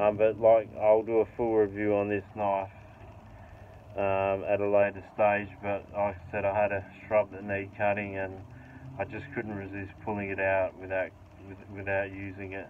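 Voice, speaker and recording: Amid light background noise, a man with a fairly low pitch speaks at a moderate pace in a monotone, flat intonation. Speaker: knife reviewer. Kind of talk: casual review chat. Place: garden. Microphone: phone near.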